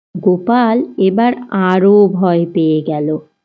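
A woman speaks slowly with ordinary pitch variation. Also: fairly low pitch for a woman.

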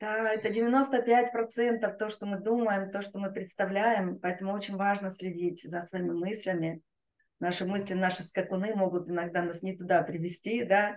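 With a quiet background, a woman speaks at a moderate pace in a medium-pitched voice with fairly even intonation. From Russia, Rostov-on-Don. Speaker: laughter yoga trainer. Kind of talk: guided group exercise session. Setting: online video session with chat. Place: home room. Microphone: webcam.

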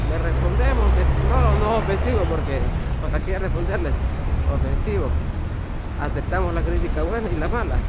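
Long, frequent pauses break up speech at a moderate pace, recorded dry with no echo under loud background noise. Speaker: cycling vlogger. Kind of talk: casual vlog chat. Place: bicycle. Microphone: phone near.

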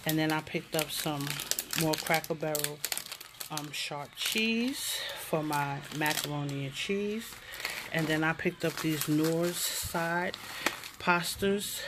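A woman speaks slowly in a low voice with a fairly bright tone. Her intonation is fairly even over faint background noise.

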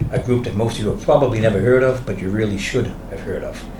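A man with an American accent speaks at a medium pitch with ordinary pitch variation, amid noticeable background noise and audible room echo. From Salem, Massachusetts. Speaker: city council candidate, former councillor. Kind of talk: candidate forum statement. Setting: hotel event room with audience. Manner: brusque.

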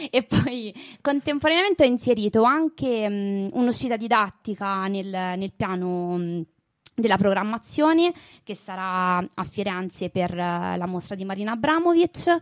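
A woman speaks at a medium pitch and a fairly slow pace, her intonation lively, in a dry, close sound with no echo. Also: very clean recording, silent background. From Italy, Terni (Umbria). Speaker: artist and art history teacher. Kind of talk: interview. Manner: hesitant, with fillers.

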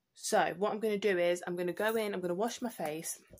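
A woman speaks at a fast pace in a fairly low pitch, her intonation fairly even and her tone slightly mellow.

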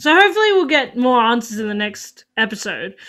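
A woman talks at a fairly quick pace with a fairly high pitch, big pitch swings and a fairly bright tone.

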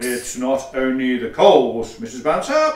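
A man talks in a pompous tone, his pitch swinging very widely. There is a slight echo. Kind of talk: Victorian farce, comic stage acting. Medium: audio drama. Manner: pompous, dry, sarcastic.

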